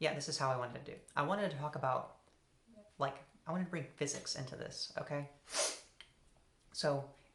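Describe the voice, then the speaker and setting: Heard with audible room echo, a woman speaks at a very deep, low pitch and with fairly even intonation. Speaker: philosophy video essayist. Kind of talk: solo philosophical talk. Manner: halting, with repetitions and fillers.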